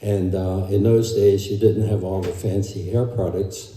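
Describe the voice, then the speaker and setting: There is audible room echo around this man's voice. His pitch is fairly low and his intonation fairly even. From Germany. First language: German. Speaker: family member. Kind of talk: eulogy. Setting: memorial service. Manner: halting.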